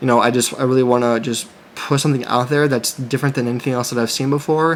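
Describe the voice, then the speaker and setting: Over noticeable background noise, a man talks at a very fast pace. His medium-pitched voice is monotone and flat. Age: 30s. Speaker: clothing brand owner and YouTuber. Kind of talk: casual vlog monologue. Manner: halting, many fillers and restarts.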